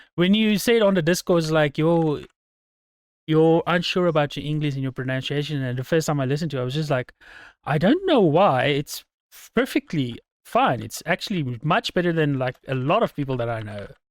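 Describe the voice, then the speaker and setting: This man speaks with a South African accent at a fairly high pitch and a fairly quick pace, with lively intonation. The sound is dry and close with no echo, on a very clean recording with a silent background. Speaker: podcast host. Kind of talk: casual chat.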